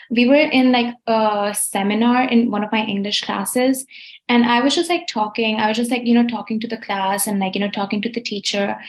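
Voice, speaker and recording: Speaking with a non-native accent, a woman keeps a fairly high pitch, fairly even intonation and a moderate pace. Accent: non-American accent, still noticeable. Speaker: college student. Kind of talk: casual chat. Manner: chatty, many fillers.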